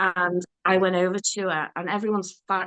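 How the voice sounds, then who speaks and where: A woman of medium pitch speaks with a bright, sharp tone. Her intonation is monotone and flat over a quiet background. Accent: Liverpool. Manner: conversational storyteller.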